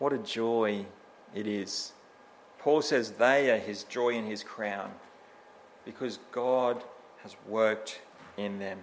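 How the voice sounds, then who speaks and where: Speaking in an Australian accent at a medium pitch, a man goes at a very slow pace with long, frequent pauses and audible room echo. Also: ordinary pitch variation. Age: 30s. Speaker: church elder and preacher. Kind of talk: sermon.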